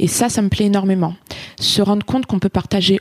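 A woman sounds somewhat breathy in dry, close sound with no echo. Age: 30s. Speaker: running club captain. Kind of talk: interview testimony.

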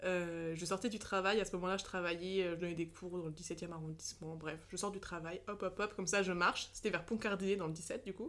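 A woman at a medium pitch talks at a fairly quick pace with hardly any pauses. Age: 20s. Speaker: social media creator. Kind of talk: casual chat. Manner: animated.

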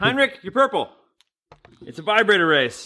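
A man speaks in a raised, projected voice. His tone is bright and sharp. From Canada. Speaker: podcast co-host. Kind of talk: casual chat. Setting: in-person, shared mic at home.

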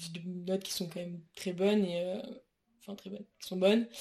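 This woman's intonation is monotone and flat. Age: 20s. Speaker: university student. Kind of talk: interview. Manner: hesitant with many fillers.

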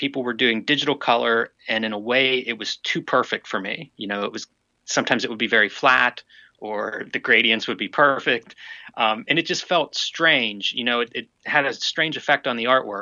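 A man's medium-pitched, unremarkable speaking voice with ordinary pitch variation. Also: moderate pace. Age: 40s. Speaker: cartoonist. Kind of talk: interview.

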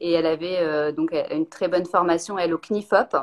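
Recorded dry and close with no echo, a woman speaks in a normal speaking voice at a fairly low pitch and a fairly quick pace. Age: 30s. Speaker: ceramicist. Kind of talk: casual interview. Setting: video call live stream.

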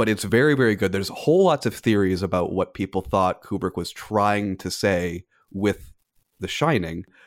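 The man has an ordinary speaking voice, pitched fairly low. His pace is moderate. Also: very clean recording, silent background. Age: 30s. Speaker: film industry professional. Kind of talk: casual chat.

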